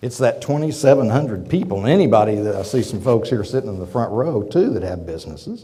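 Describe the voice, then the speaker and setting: Lively in intonation, a man with an American accent speaks fairly quickly at a medium pitch, with audible room echo. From Oklahoma. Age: 50s. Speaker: business executive. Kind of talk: lecture. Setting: auditorium with audience. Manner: halting.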